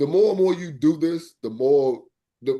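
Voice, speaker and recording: A man's voice with a dark, mellow tone. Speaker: podcast host. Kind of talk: casual chat. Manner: fluent, no stuttering.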